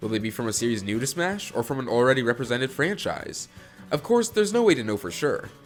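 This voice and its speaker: A man's medium-pitched voice at a very fast pace, with very wide pitch swings over music in the background. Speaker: gaming video essayist. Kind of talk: video essay narration.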